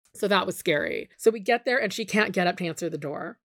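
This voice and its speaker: A woman's medium-pitched voice at a very fast pace, with fairly even intonation, in a very clean recording with a silent background and a dry, close sound free of echo. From Mexican heritage. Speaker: TV producer. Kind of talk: interview, personal story.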